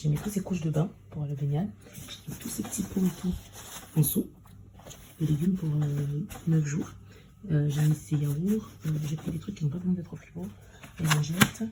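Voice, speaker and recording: A woman with a very deep, low pitch, ordinary pitch variation and a moderate pace, plus long, frequent pauses. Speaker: vlogger, mother. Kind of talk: vlog narration.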